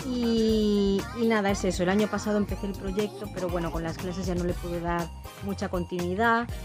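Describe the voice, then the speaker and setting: Background music is present. Over it, a woman's speech moves at a moderate speed. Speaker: language teacher. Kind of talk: casual talk to camera.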